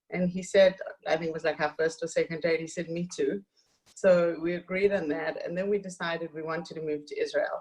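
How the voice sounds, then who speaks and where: The speaker has a South African accent and talks at a fairly quick pace. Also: woman. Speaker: author and community activist. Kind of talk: interview.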